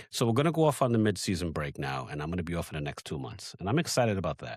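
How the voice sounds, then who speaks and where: This man's voice sits very deep and low, with vocal fry and very wide pitch swings. He talks at a very fast pace. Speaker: podcast host. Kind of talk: casual chat.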